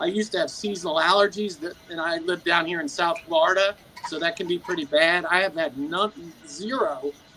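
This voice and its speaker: A man with a high voice speaks at a fairly quick pace and fairly even intonation over noticeable background noise. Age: 60s. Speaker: carnivore diet community member. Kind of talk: casual group chat. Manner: halting with fillers.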